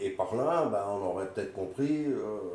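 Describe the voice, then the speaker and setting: Noticeable background noise and audible room echo fill the clip. A man speaks fairly slowly, with ordinary pitch variation. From Belgium. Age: 60s. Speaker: political activist. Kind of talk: testimony.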